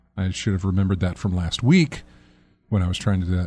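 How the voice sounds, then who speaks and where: A fairly low-pitched male voice with a dark, mellow tone. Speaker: video game podcast host. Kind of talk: casual chat. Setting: studio. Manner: loud.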